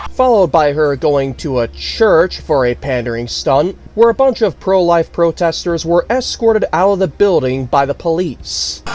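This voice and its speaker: A man speaks at a moderate pace with a fairly high pitch and lively intonation, barely pausing. Noticeable background noise is audible. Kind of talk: political news commentary.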